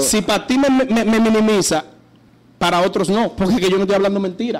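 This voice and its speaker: A man speaks at a fairly quick pace in a high pitch, with ordinary pitch variation. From San Pedro (Dominican Republic). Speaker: urban music artist, interview guest. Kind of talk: radio interview answer, heated and opinionated. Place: studio. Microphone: studio mic.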